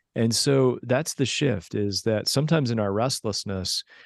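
A man's dry, close voice at medium pitch, a normal speaking voice at a moderate pace, no echo, quiet background. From US. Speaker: pastor and spiritual director. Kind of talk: interview conversation.

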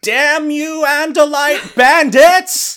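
Extremely high-pitched put-on character voice from a man. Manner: grandiose, shouting, theatrical.

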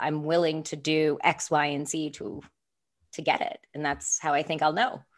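On a very clean recording with a silent background, an unremarkable speaking voice moves at a moderate pace. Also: woman. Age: 20s. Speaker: podcast co-host, nonprofit founder. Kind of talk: casual chat.

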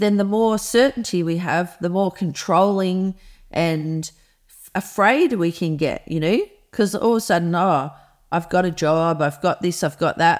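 Moderate pace in an Australian accent, with ordinary pitch variation, big swings in loudness, and a very clean recording with a silent background. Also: woman, medium pitch for a woman. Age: 50s. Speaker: environmental campaigner. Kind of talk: interview.

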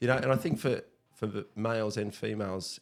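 A man with an Australian accent, fairly low in pitch, with ordinary pitch variation. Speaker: teacher. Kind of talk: casual chat.

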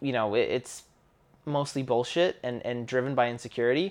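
A man with a Canadian accent talks with ordinary pitch variation over a quiet background. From Canada. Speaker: podcast co-host. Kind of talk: casual conversation podcast.

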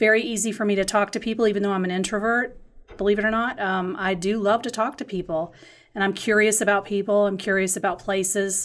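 A woman with an American accent has a plain, everyday voice at a medium pitch, with ordinary pitch variation and a fairly quick pace. The recording is very clean, with a silent background. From grew up moving around as a Navy child, family from North Carolina. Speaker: marketing and branding consultant in the design industry. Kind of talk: casual interview conversation. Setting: side by side in person.

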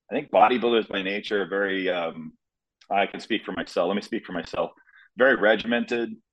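Speaking in a normal speaking voice with an American accent, a man has a fairly low pitch with ordinary variation. His pace is fairly quick. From US Midwest, Nebraska. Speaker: bodybuilder and fitness coach. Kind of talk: casual interview chat.

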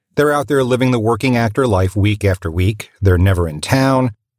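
A man with a plain, everyday voice speaks at a fairly quick pace and medium pitch, with ordinary pitch variation, on a very clean recording with a silent background. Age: 40s. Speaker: voice actor. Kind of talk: recorded personal testimony.

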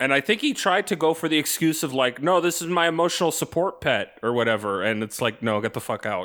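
A loud man's voice at a very fast pace, bright and sharp in tone with vocal fry, fairly high in pitch with very wide pitch swings, on a very clean recording with a silent background. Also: hardly any pauses. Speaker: podcast co-host. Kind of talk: casual chat.

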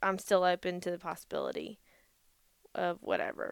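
A woman with a Southern US accent speaks fairly slowly at a medium pitch. The recording is very clean, with a silent background. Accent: Southern US (Georgia). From US South, Georgia (Gainesville, Vidalia). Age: 20s. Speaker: podcast co-host. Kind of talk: casual chat.

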